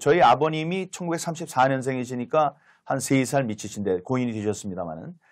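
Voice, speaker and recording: Over a silent background in a very clean recording, a man speaks at a moderate pace with very wide pitch swings. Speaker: former lawmaker, political commentator. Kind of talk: political talk-show discussion. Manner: hesitant, many filler sounds.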